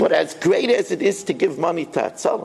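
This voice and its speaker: A man speaks with an American accent. Noticeable background noise runs underneath. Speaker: rabbi teaching Torah class. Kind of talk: Torah lecture. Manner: fast.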